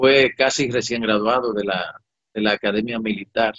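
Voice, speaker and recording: A man's voice comes through with dry sound, no echo, and a quiet background. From Dominican Republic. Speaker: air force commander. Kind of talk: interview. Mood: reflective, emotional personal memories. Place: office. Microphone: webcam.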